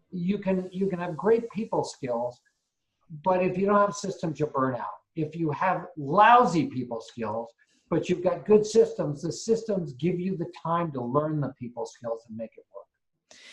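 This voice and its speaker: A man with a high pitch talks at a fairly slow pace, with lively intonation and big swings in loudness. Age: 60s. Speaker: real estate investor and property management teacher. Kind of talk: interview.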